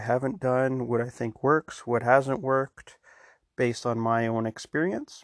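The sound is dry and close with no echo, over a quiet background. A man speaks at a moderate pace. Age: 40s. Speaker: podcast host. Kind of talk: solo podcast intro. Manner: monotone; rambling, informal.

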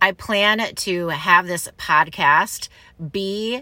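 With a Midwestern American accent, this bright, sharp voice uses ordinary pitch variation in a very clean recording with a silent background. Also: woman. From Michigan, US Midwest. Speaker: podcast host. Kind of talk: personal monologue. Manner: casual.

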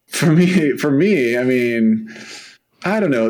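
In a room with audible echo, a man speaks with an American accent. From San Diego, California. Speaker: podcast co-host. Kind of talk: casual chat.

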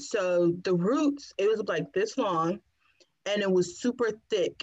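Speaking at a fairly slow pace with an American accent, a woman has a plain, everyday voice at a medium pitch with ordinary pitch variation. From Washington, DC. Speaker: podcast guest, natural hair influencer. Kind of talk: casual chat.

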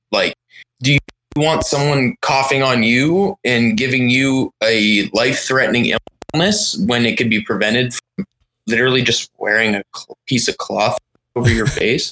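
Speaking with an American accent, a man uses a medium pitch at a moderate pace, his tone bright and sharp. The intonation is lively, and the sound is dry and close with no echo. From Pennsylvania, US. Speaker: band guitarist. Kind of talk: casual chat. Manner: animated.

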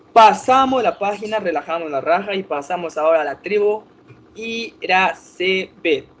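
A man with a high pitch and lively intonation speaks at a fairly slow pace while noticeable background noise carries on around him. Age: 20s. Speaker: podcast host of online survivor game. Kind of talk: casual chat.

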